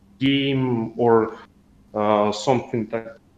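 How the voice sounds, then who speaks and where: Medium-pitched male voice in a Russian accent, with ordinary pitch variation. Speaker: community member. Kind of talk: voice call Q&A. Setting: voice call. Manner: halting.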